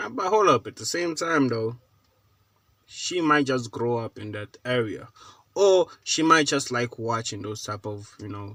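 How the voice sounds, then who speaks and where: Bright and sharp in tone, a man with an American accent speaks at medium pitch and a fairly slow pace, with lively intonation and big swings in loudness. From South Africa. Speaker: reaction video co-host. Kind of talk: casual chat.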